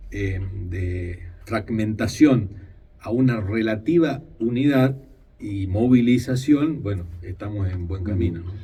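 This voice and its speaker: Slowly and breathily, a man talks in a dark, mellow tone at a fairly low pitch, with ordinary pitch variation, big swings in loudness and audible room echo, his pace very slow. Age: 50s. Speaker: politician. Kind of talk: radio interview. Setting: radio studio.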